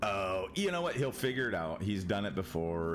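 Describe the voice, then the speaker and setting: Music in the background and audible room echo around a man with an American accent, his very deep, low voice moving at a moderate pace with lively intonation. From Michigan. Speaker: gaming streamer. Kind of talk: casual chat. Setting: live stream. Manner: halting.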